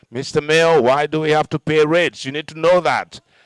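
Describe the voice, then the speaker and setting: At a moderate pace, a man with a fairly high pitch speaks in a dry, close sound with no echo. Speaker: master of ceremonies at a public council meeting. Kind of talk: public address. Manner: loud.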